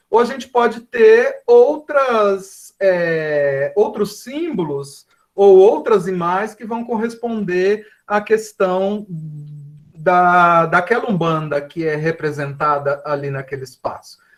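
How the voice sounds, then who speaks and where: Speaking at a very slow pace with hardly any pauses, a man uses a high pitch and lively intonation. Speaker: professor. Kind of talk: lecture.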